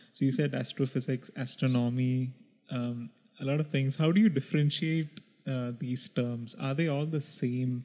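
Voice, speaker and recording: A man with a Keralan accent speaks at a moderate pace and medium pitch. His tone is dark and mellow, and his intonation fairly even. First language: Malayalam. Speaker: podcast co-host. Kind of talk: casual chat.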